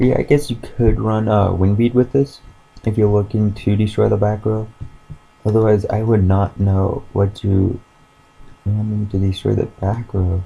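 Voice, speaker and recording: A man's fairly low voice with fairly even intonation, set against noticeable background noise. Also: moderate pace. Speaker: YouTuber presenting card game deck. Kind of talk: casual deck profile tutorial. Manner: hesitant, many fillers.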